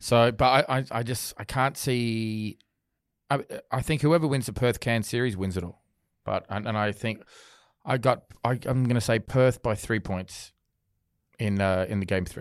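Speaking in an Australian accent, a man uses ordinary pitch variation and leaves long, frequent pauses. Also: medium pitch for a man, moderate pace, very clean recording, silent background. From Australia, Sydney. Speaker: sports podcast host. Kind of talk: casual chat. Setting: studio.

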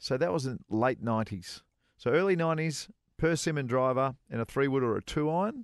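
A fairly high-pitched man with an Australian accent and lively intonation at a fairly quick pace, dry and close with no echo, over a quiet background. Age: 40s. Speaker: golf radio co-host, former pro golfer. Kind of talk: casual chat.

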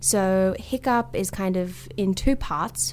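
The speaker is a woman with an Australian accent. Her voice sits fairly low in pitch. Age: 20s. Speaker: comedian and writer. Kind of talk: interview.

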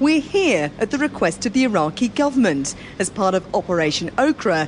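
Noticeable background noise sits behind a woman whose voice makes very wide pitch swings. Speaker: army podcast reporter. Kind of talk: interview and reporting. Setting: military hospital in Iraq.

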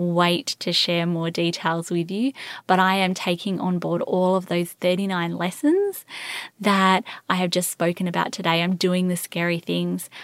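A woman with an Australian accent speaks at medium pitch and a fairly slow pace. The sound is dry and close with no echo, on a very clean recording with a silent background. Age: 30s. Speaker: podcast host and infertility coach. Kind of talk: solo podcast monologue. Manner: animated.

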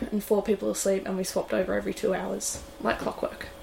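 A woman with an Australian accent. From Tasmania, Australia. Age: 20s. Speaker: sailmaker and offshore racer. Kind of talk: casual interview chat. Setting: on board a yacht.

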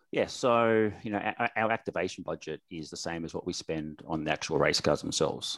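In an Australian accent, a man with a very deep, low pitch talks at a fairly quick pace with hardly any pauses. The sound is dry and close with no echo, and his pitch variation is ordinary. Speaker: sponsorship manager. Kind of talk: casual chat.

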